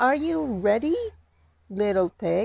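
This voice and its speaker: A woman speaks in a put-on character voice. Her pitch sits in the medium range. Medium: read story. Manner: menacing, sly.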